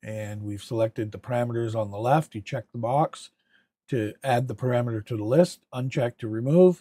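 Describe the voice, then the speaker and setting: Recorded very cleanly against a silent background, the man's medium-pitched voice has a dark, mellow tone and a dry, close sound with no echo. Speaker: diagnostic software demonstrator. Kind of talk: tutorial. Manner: halting, with fillers.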